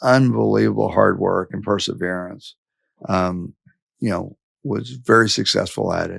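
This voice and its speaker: The speaker has a Texan accent. The pace is fairly slow. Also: man. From West Texas. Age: 60s. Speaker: business executive. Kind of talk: interview. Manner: halting.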